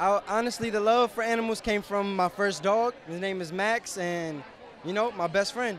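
A high-pitched man's voice with fairly even intonation, a dry sound with no echo and light background noise. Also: moderate pace. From New York. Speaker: viral social media personality; interviewee. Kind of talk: casual interview. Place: street. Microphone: handheld.

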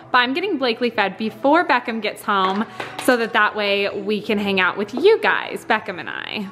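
With faint music in the background, a woman speaks with ordinary pitch variation. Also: moderate pace. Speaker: family vlogger. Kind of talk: casual vlog chat. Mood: warm, cheerful, grateful. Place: home room. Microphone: phone near.

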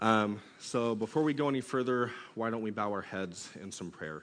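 Here a man is speaking. His pitch variation is ordinary. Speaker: youth pastor. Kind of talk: sermon. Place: church. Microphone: headset.

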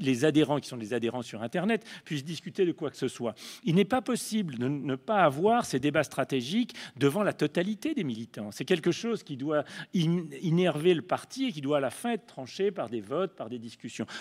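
A man's fairly high voice at a moderate pace, with very wide pitch swings and big swings in loudness, on a very clean recording with a silent background. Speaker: panelist, left-wing activist. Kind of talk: panel talk. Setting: conference panel with audience.

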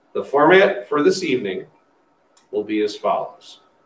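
There is audible room echo as a man talks at a moderate pace. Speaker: school district leader hosting forum. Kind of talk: formal announcement. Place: meeting room. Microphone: podium.

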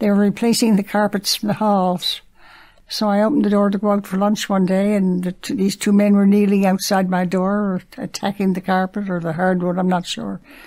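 A woman's dark, mellow voice at medium pitch, monotone and flat, fairly quick, with a Newfoundland accent. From Newfoundland, St. John's. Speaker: senior resident. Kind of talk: storytelling.

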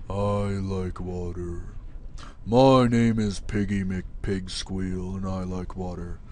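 In a put-on character voice, a man talks at a very slow pace with a very deep, low pitch over clear background noise. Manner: silly, ridiculous.

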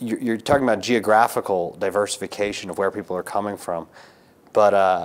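This man has an ordinary speaking voice, fairly low in pitch, with fairly even intonation. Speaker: podcast host, class teacher. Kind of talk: podcast conversation. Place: studio. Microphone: lapel.

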